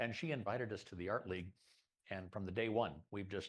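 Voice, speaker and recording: A man's normal speaking voice, fairly low in pitch, with ordinary pitch variation. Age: 60s. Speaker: club presenter, photographer and former academic dean. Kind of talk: presentation at a members' meeting. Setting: meeting room with live audience and Zoom.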